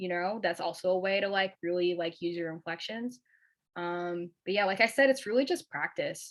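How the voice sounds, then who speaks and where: On a very clean recording with a silent background, a woman speaks at a medium pitch with lively intonation. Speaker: alumni workshop speaker. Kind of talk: workshop talk. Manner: fast; casual, many filler words.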